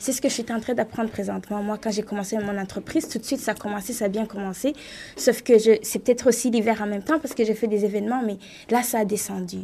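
Using an ordinary speaking voice, a woman talks at a fairly quick pace with a fairly high pitch and fairly even intonation. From Rwanda. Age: 20s. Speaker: writer and event entrepreneur. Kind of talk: radio panel discussion.

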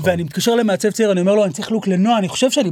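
This man speaks at a high pitch. The recording is very clean, with a silent background. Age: 40s. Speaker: celebrity stylist and podcast host. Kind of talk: casual chat.

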